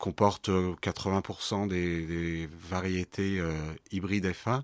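On a very clean recording with a silent background, a man with a very deep, low pitch talks with fairly even intonation. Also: dry, close sound with no echo. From Lyon, France. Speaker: organic vegetable farmer. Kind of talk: interview. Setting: on his farm.

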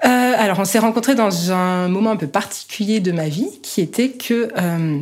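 The pace is moderate as a woman speaks. Her pitch varies in an ordinary way. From France, Haute-Savoie (Annecy). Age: 30s. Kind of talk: testimony. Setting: at home. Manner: hesitant, many fillers.

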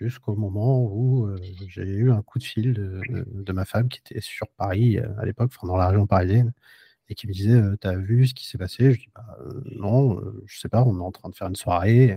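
On a very clean recording with a silent background, a man with a fairly low pitch and a dark, mellow, somewhat breathy tone speaks at a moderate pace with fairly even intonation and a dry, close sound with no echo. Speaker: podcast host. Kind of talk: casual chat. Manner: hesitant, many fillers.

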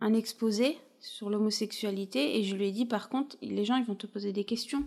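A woman's normal speaking voice, fairly high in pitch, with fairly even intonation at a moderate pace. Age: 30s. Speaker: expectant mother sharing her family story. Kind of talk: personal testimony interview.

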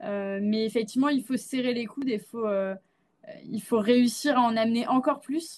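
A woman speaks at a moderate pace with a plain, everyday voice. Her pitch is fairly high, with ordinary pitch variation. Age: 20s. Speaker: Web3 consultancy CEO. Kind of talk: interview.

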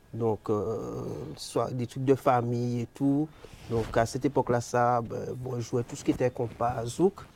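In a normal speaking voice, a man of medium pitch talks at a fairly slow pace with fairly even intonation and big swings in loudness. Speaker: sound system selector. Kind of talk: interview.

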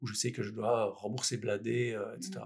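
Here a man speaks with vocal fry. His intonation stays fairly even. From Belgium, Liège. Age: 40s. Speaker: entrepreneur. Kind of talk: interview. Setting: in person with host.

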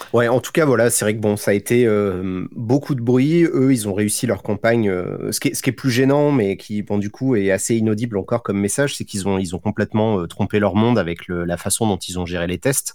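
A man talks in a plain, everyday voice at a fairly low pitch, with ordinary pitch variation. His pace is fairly quick with hardly any pauses, on a very clean recording with a silent background. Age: 30s. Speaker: youtuber and streamer. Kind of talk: casual chat.

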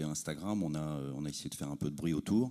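His voice is very deep and low for a man, with ordinary pitch variation. He speaks at a fairly quick pace. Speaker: audience member, brand representative. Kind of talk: audience question answer. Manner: hesitant, unprepared.

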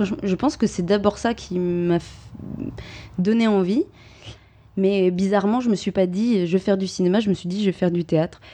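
A woman talks at a moderate pace in a dark, mellow tone, her pitch medium. Her intonation is fairly even, broken by long, frequent pauses. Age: 30s. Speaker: stage actress. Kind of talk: interview.

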